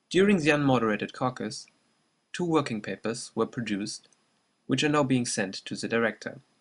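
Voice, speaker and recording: Speaking at a moderate pace, a man with a slight German accent uses lively intonation. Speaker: presenter. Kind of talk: scripted narration. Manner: formal.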